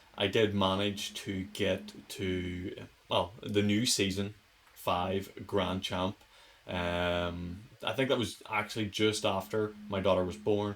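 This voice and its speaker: The speaker has a Northern Irish accent. Delivery is very slow, with monotone, flat intonation. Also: man, fairly low pitch for a man. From Northern Ireland. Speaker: gaming youtuber. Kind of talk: gameplay commentary. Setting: attic room at home. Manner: casual.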